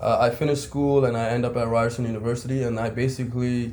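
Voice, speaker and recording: At a very fast pace, the speaker uses monotone, flat intonation with a slight Pakistani accent, heard with audible room echo. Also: man. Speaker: basketball coach. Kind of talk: casual chat.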